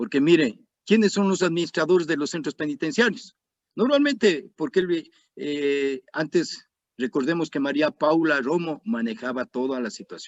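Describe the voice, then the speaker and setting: With an ordinary speaking voice, a man speaks at a moderate pace, his fairly high pitch carried by lively intonation. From Ecuador. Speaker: retired army colonel, security analyst. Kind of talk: interview.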